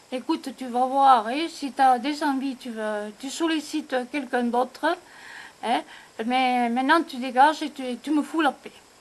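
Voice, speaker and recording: The speech moves at a fairly slow pace with fairly even intonation and big swings in loudness. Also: woman, high pitch for a woman. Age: 70s. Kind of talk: personal family memoir told to camera.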